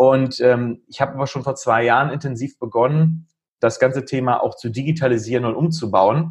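With a somewhat breathy, medium-pitched voice, a man speaks at a moderate pace and with fairly even intonation. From northern Germany, Lüneburg Heath (Lower Saxony). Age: 40s. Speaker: IT entrepreneur. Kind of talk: podcast interview.

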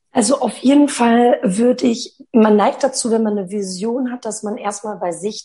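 This woman has an ordinary speaking voice with a fairly high pitch. She talks at a moderate pace with ordinary pitch variation. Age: 30s. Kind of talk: interview.

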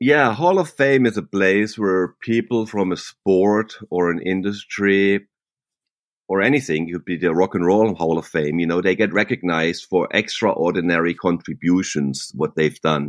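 The recording is dry and close, with no echo, as a man speaks in a German accent. His pitch is very deep and low, with ordinary variation, and his pace is moderate. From southwestern Germany. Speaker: professional mountain biker. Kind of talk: interview. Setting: remote call from home.

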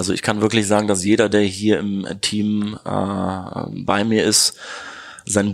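Very slow speech from a man, fairly low in pitch. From Neuss near Düsseldorf, Germany. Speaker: optician. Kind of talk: interview. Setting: in his optician's shop.

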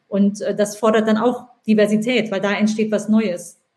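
A woman speaks at a fairly slow pace. Her voice is fairly high in pitch and somewhat breathy. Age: 40s. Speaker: podcast host, author and digital entrepreneur. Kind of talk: casual interview chat. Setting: LinkedIn live stream.

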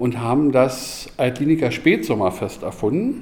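An unremarkable speaking voice from a medium-pitched man with lively intonation. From Berlin. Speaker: restaurant owner. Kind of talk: interview.

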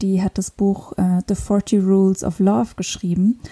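Somewhat breathy and dark, mellow in tone, a woman speaks at a medium pitch in a flat monotone, captured with a dry, close sound and no echo. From northern Luxembourg. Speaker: podcast host. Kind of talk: solo podcast monologue. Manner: hesitant, many fillers.

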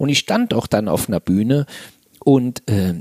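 Lively in intonation, a man with an unremarkable speaking voice talks at a medium pitch and a fairly slow pace in a dry, close sound with no echo. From Saarland, Germany. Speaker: motivational trainer. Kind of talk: interview.

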